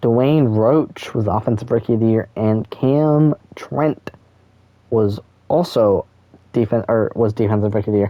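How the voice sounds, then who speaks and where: A man with a normal speaking voice talks at a fairly slow pace and medium pitch with ordinary pitch variation. His loudness stays very even. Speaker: gaming YouTuber. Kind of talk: gameplay commentary.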